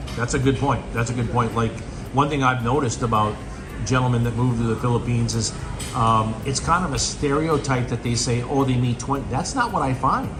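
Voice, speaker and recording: A man speaks fairly quickly at a medium pitch with fairly even intonation, with audible room echo and music in the background. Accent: American. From United States. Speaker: travel vlogger. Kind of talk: interview. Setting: outdoors on a beach.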